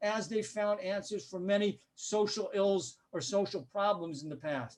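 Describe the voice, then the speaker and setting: With an American accent, a man speaks in a high pitch with ordinary pitch variation. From US, Denver. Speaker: journalist and political analyst. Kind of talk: lecture.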